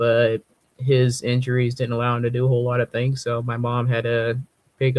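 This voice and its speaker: This man's medium pitch stays in a monotone, flat intonation at a moderate pace. The sound is dry and close, with no echo. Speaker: musician presenting own song. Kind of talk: casual chat.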